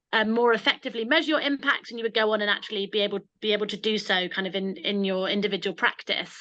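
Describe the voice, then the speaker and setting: Against a quiet background, a woman with a British accent speaks at a fairly quick pace, her fairly high voice bright and sharp in tone. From UK. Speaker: social enterprise founder giving a webinar talk; presenter. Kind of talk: online webinar presentation. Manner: fast; hesitant, many repetitions and fillers. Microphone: video call.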